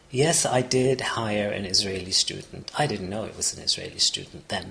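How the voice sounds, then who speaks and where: A man at medium pitch and moderate pace, ordinary pitch variation, big swings in loudness, noticeable background noise. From Palestinian, raised partly in Kuwait. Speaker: refugee and former cafe owner. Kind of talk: interview. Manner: halting, with frequent false starts.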